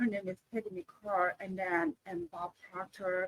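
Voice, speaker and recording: A woman with a Korean accent at a fairly slow pace, in a dry, close sound with no echo. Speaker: author and coach. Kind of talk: interview. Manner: halting.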